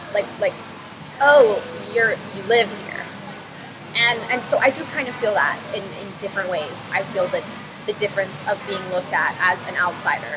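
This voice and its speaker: A woman at a moderate pace, with long, frequent pauses and music in the background. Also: medium pitch for a woman, ordinary pitch variation. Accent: American. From North Carolina, US South. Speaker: student vlogger. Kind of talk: personal reflection monologue. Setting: coffee shop. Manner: halting, many fillers and repeats.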